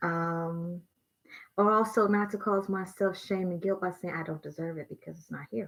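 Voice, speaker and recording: A woman talks at a moderate pace with fairly even intonation. The recording is very clean, with a silent background. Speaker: tarot reader. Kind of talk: tarot reading. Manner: soft-spoken.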